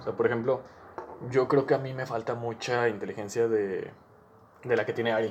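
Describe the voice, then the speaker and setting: A man talks at a fairly quick pace and medium pitch. His intonation stays fairly even. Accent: Mexican. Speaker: podcast host. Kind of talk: casual chat.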